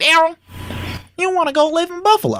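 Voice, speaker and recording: Someone puts on a character voice with an extremely high pitch, talking at a fairly quick pace. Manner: questioning.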